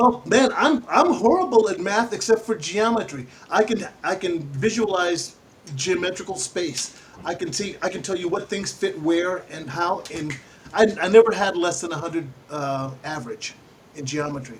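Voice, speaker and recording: The speaker uses lively intonation at a moderate pace, with big swings in loudness. Noticeable background noise is present. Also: man, high pitch for a man. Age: 60s. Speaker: radio host. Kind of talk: casual chat. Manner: animated.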